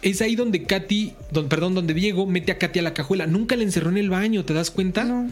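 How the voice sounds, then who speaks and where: Noticeable background noise sits under the talking. The delivery is very fast, with ordinary pitch variation. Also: man, high pitch for a man, hardly any pauses. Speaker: podcast host. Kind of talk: true-crime storytelling. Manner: casual, slangy.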